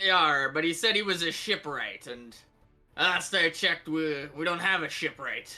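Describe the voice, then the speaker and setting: A man's put-on character voice, high in pitch, at a moderate pace, with faint music in the background. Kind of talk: pirate talk. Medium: actual play.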